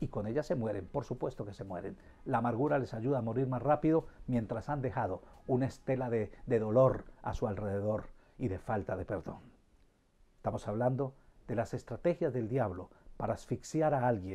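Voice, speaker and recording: A dark, mellow tone carries the speech at a moderate tempo. The pitch varies in an ordinary way. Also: man. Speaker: pastor. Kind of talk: sermon. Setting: live stream. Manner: informal. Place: home room.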